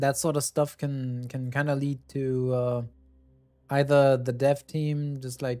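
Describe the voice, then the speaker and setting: Fairly slow, monotone and flat speech from a man with a fairly high pitch. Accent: German. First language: German. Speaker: streamer. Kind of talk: casual chat.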